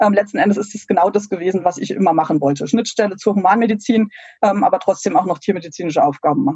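Talking at a very fast pace, a woman has a medium pitch and ordinary pitch variation. Her voice is somewhat breathy. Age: 40s. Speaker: veterinary pathologist and researcher. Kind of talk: interview. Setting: video call. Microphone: poor internet audio quality.

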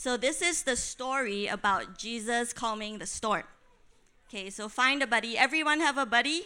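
With a bright, sharp tone and a high pitch, a woman speaks at a moderate pace with lively intonation on a very clean recording with a silent background. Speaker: missionary teacher. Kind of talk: teaching workshop.

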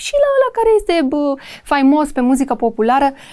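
A woman talks at a fairly quick pace. Her pitch is high and her tone dark and mellow. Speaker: podcast host. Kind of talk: casual interview.

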